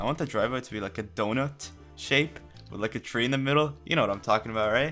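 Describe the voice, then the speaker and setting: Over music in the background, a man speaks at a very fast pace. His intonation is lively. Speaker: gaming video creator. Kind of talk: casual gameplay commentary. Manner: casual, chatty.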